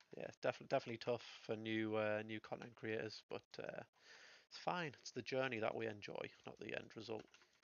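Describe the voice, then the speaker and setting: A man speaks at a moderate pace and medium pitch with fairly even intonation. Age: 30s. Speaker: gaming streamer. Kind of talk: live gameplay commentary. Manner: casual, hesitant with many fillers.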